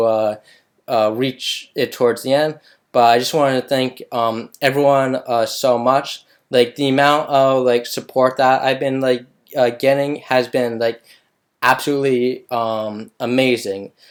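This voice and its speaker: A man at medium pitch and a fairly slow pace, with monotone, flat intonation, on a very clean recording with a silent background. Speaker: vlogger and software engineer. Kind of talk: casual vlog monologue. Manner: halting, many fillers.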